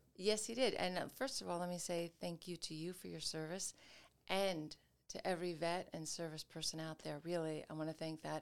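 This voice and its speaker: A woman with an American accent in an ordinary speaking voice, fairly low in pitch, at a moderate pace with fairly even intonation. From New York, Westchester County. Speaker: business professor and author. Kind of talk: interview.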